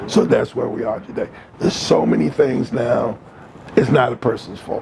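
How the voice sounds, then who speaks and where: A man keeps a moderate pace as noticeable background noise plays behind him. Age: 70s. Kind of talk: casual chat.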